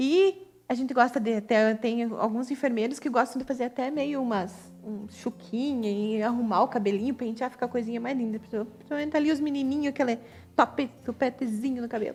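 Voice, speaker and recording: A woman talks at a fairly quick pace with hardly any pauses. Her voice is high, with ordinary pitch variation. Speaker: nurse. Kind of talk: live webinar presentation. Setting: online live stream.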